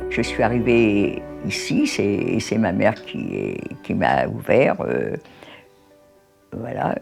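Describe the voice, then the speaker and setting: A woman talks. Music sounds behind her. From France, Paris. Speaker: Holocaust survivor. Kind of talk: testimony. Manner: halting.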